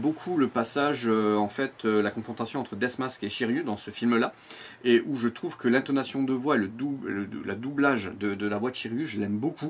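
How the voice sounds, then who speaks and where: This man talks at a moderate pace and medium pitch, with ordinary pitch variation. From Provence, southern France. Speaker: amateur voice actor and YouTuber. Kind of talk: interview. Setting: outdoors with cicadas. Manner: hesitant, many fillers.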